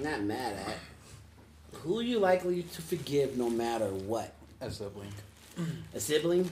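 In a somewhat breathy, playful tone, a man of medium pitch talks at a fairly slow pace with very wide pitch swings. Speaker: podcast host and youth mentor. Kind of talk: casual group conversation podcast with teens. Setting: around a table at an after-school program. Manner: playful, teasing, conversational.

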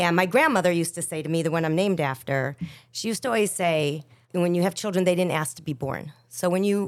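This woman has a plain, everyday voice, fairly low in pitch, and speaks at a fairly quick pace. The recording is very clean, with a silent background. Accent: American. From Chicago, West Rogers Park. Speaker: singer. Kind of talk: casual chat.

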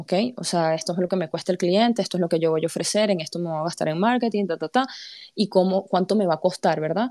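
A woman with a medium pitch, dark, mellow tone and ordinary pitch variation talks at a very fast pace in a very clean recording with a silent background and a dry, close sound with no echo. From Panama. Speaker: crypto community podcast host. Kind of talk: monologue explainer on live audio space. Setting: live audio space.

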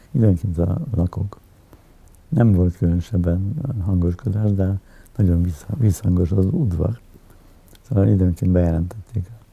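A man with a very deep, low pitch speaks in a dark, mellow, somewhat breathy tone. His loudness stays very even, broken by long, frequent pauses. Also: ordinary pitch variation. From Hungary, Budapest. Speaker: editor and politician. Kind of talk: interview, personal reminiscence. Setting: at home in his apartment. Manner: halting, many filler sounds and repetitions.

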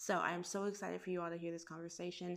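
A woman speaks with a fairly low pitch and monotone, flat intonation. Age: 20s. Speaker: podcast host. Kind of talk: casual chat.

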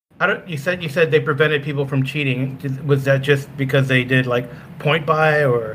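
A man's fairly high voice at a moderate pace, fairly even in intonation, with noticeable background noise. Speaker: podcaster panelist.

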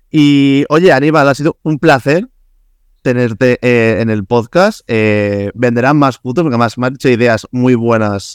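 In a very clean recording with a silent background and a dry, close sound without echo, a man talks at a moderate pace with a Spanish accent. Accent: Peninsular Spanish. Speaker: podcast host. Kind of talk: casual interview chat.

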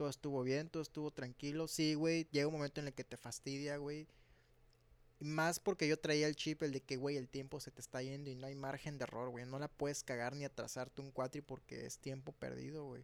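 Fairly quick and fairly high, a man's voice comes across in a flat monotone. The sound is dry and close, without echo. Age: 20s. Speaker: drummer in a band. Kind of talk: casual chat.

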